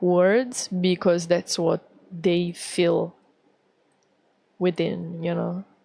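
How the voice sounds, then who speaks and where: With an Italian accent, a woman speaks very slowly at a fairly low pitch in a monotone, flat intonation. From Italy. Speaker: VTuber artist streamer. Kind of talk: casual livestream chat. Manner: halting, many fillers.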